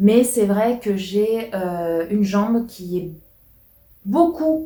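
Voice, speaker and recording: A woman speaks with a fairly high pitch and a dark, mellow tone. Her voice is somewhat breathy, and her intonation is lively. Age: 30s. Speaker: YouTuber. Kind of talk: casual chat. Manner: hesitant, many fillers.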